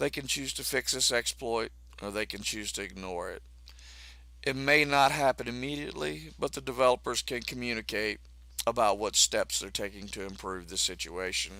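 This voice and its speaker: A man with a fairly low voice and vocal fry talks at a moderate pace. His pitch swings very widely, and his loudness varies a lot. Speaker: gaming content creator. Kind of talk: gaming news commentary.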